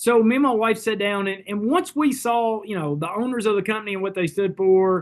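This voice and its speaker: Talking at a fairly quick pace with hardly any pauses, this speaker has a Southern US accent and ordinary pitch variation. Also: man, high pitch for a man. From Kentucky. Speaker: network marketing leader. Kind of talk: sales pitch.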